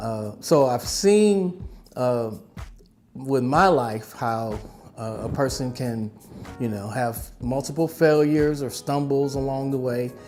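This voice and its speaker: With music in the background, a man talks at a medium pitch. He goes at a fairly slow pace, with ordinary pitch variation. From Milwaukee. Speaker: retired teacher. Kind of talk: interview answer.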